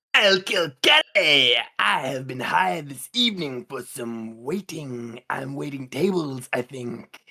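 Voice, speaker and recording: A man's put-on character voice at medium pitch, with lively intonation, big swings in loudness and hardly any pauses. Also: fairly slow pace. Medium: actual play.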